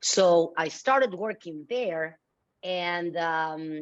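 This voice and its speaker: A woman speaks with a Mexican accent at a fairly low pitch, her pitch varying in an ordinary way. The background is quiet. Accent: deep Mexican Spanish. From Mexico (Mexico City). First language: Spanish. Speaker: philanthropy leader. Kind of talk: interview.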